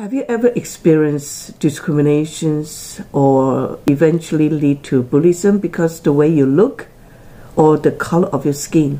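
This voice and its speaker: At a fairly slow pace, a woman with a Taiwanese accent speaks at a very deep, low pitch with ordinary pitch variation. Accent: Taiwanese Chinese accent in English. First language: Chinese. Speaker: tea channel presenter; presenter. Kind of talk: personal motivational talk to camera. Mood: earnest, encouraging. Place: home room. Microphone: phone near.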